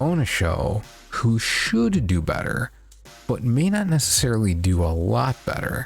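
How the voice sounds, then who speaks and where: A soft-spoken man's voice of medium pitch, with very wide pitch swings and very even loudness, over music in the background. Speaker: sumo commentator. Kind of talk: casual talk to camera. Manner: quiet, muted, soft-spoken; semi-ASMR feel.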